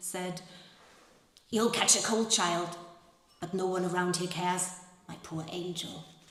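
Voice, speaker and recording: A woman speaks at a medium pitch and a moderate pace. Noticeable background noise runs underneath. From Germany. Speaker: actress and translator. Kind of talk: literary reading to a live audience.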